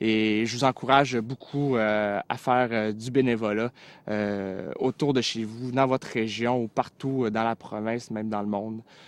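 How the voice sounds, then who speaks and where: In a dry, close sound with no echo and a quiet background, a man speaks at a medium pitch and fairly slow pace with fairly even intonation. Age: 20s. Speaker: volunteer sharing his experience. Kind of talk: testimony. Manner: halting, many filler sounds.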